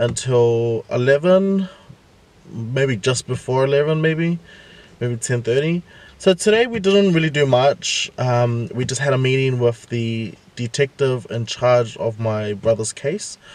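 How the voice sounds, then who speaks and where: The sound is dry, with no echo. A man speaks very slowly, his intonation lively. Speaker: vlogger. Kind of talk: casual vlog chat. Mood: serious, a bit worried. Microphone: phone near.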